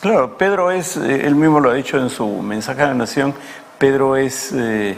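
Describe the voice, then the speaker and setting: A man at a medium pitch and moderate pace, with lively intonation and noticeable background noise. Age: 70s. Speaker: politician, former congressman. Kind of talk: TV interview.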